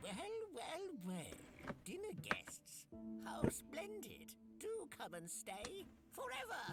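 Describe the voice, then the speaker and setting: A put-on character voice drags along at a very slow pace over loud music in the background. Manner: sinister, mock-welcoming.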